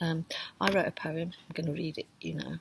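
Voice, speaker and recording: The speaker is soft-spoken. Delivery runs at a moderate pace. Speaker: creative writing workshop leader. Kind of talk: online workshop talk.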